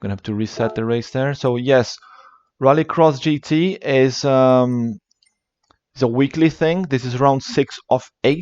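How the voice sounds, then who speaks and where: With a slight British accent, a man speaks at a fairly slow pace in a medium pitch with ordinary pitch variation, and the sound is dry and close with no echo. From Brazil. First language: Portuguese. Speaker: esports race commentator and streamer. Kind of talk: live race commentary and chat with viewers. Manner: casual, hesitant with fillers.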